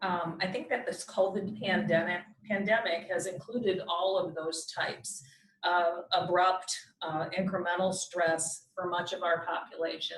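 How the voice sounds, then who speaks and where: A woman's medium-pitched voice at a moderate pace, over noticeable background noise. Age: 60s. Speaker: doctor giving community health talk. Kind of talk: presentation. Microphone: too far from mic, hard to hear.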